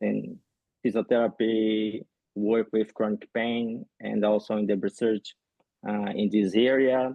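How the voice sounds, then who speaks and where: Flat and monotone, a man speaks at a fairly low pitch. His pace is fairly slow. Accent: Rio de Janeiro. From Brazil, Rio de Janeiro. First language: Portuguese. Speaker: physiotherapist and researcher. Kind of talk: podcast interview. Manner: halting, many fillers.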